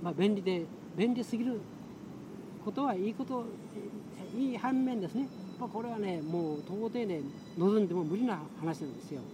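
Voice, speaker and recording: A man talks at a high pitch with lively intonation and long, frequent pauses. Background noise is noticeable. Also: moderate pace. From Kagoshima, Yakushima island. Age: 70s. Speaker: retired engineer and environmental activist. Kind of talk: interview. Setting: outdoors on a lawn.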